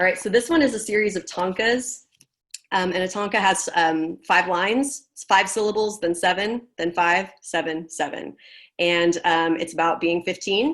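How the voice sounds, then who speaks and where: At a moderate pace, a woman with a plain, everyday voice speaks in a medium pitch with ordinary pitch variation. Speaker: poet, author. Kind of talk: poetry reading with chatty intros between poems.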